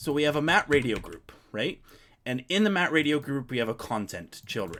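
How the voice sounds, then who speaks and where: Vocal fry runs through this man's speech, delivered at a fairly quick pace. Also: very clean recording, silent background. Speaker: software developer streamer. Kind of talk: live coding stream explanation. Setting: live stream. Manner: halting, stuttering over words; casual, conversational.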